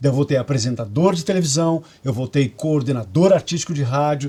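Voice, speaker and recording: At a moderate pace, a man talks in a dark, mellow tone that is somewhat breathy, his pitch varying in an ordinary way. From Curitiba, Brazil. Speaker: radio and TV presenter. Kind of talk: interview answer.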